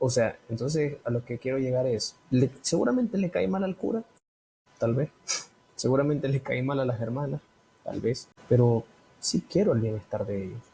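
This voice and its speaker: With a Nicaraguan accent, a man speaks at a moderate pace and medium pitch, his lively intonation broken by long, frequent pauses. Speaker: podcast co-host. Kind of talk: casual chat.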